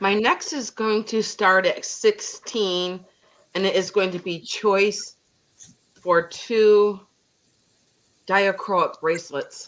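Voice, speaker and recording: At a very slow pace, a woman with an American accent speaks at a medium pitch with fairly even intonation and long, frequent pauses. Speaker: online vintage seller. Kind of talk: live sale chat.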